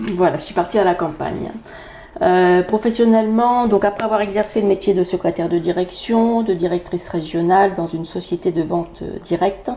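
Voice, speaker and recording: A woman speaks at a fairly quick pace in a medium pitch with fairly even intonation. Noticeable background noise sits behind her. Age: 50s. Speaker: energy therapist and Reiki teacher. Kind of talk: podcast self-introduction.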